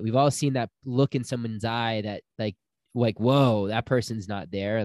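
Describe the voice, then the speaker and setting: A man with an ordinary speaking voice talks at a moderate pace and medium pitch, using ordinary pitch variation, in a dry, close sound with no echo. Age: 30s. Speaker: spiritual healer and retreat guide. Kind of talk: casual interview.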